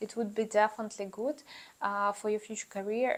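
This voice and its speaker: At a fairly quick pace, a woman talks with a fairly high pitch and fairly even intonation. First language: not English. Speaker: YouTuber giving student advice. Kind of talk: casual vlog advice. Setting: talking to camera. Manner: hesitant, many fillers.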